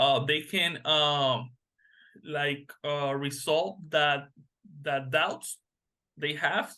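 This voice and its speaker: A man with a Spanish accent speaks at a very slow pace, in a fairly high pitch. His intonation is fairly even, broken by long, frequent pauses. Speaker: massage therapist. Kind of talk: interview. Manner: halting.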